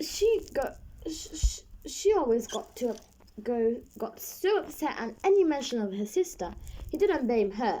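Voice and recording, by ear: A natural voice reads the words aloud.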